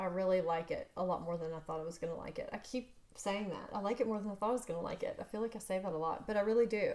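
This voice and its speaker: The pace is very fast. A woman speaks with a fairly high pitch. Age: 40s. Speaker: beauty vlogger. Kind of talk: product review. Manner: casual, chatty.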